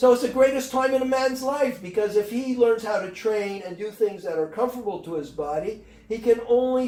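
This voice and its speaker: A man speaks at a moderate pace in an extremely high voice, animated in tone with ordinary pitch variation and hardly any pauses, over noticeable background noise. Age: 70s. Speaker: fitness expert. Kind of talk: podcast interview.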